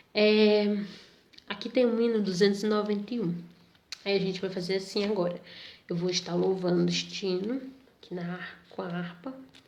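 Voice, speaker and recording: A woman in fairly even intonation, with long, frequent pauses, audible room echo and noticeable background noise. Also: medium pitch for a woman, moderate pace. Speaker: Sunday school teacher. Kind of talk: Bible lesson for youth.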